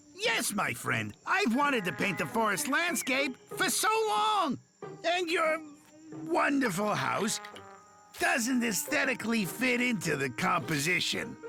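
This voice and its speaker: A cartoonish character voice, fairly high in pitch, talks at a fairly slow pace. Music plays clearly in the background. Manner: calm, unhurried.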